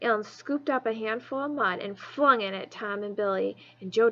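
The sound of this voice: An unforced reading voice carries the whole clip.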